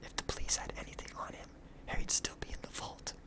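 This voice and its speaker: Whispering at a moderate pace in a relaxed tone, with noticeable background noise. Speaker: ASMR comic book reader. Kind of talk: dramatized comic book reading with character voices. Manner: whispered, relaxed.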